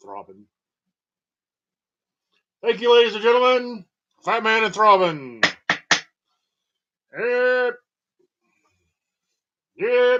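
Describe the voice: Putting on a character voice, a man speaks at an extremely high pitch and a fairly slow pace, with long, frequent pauses.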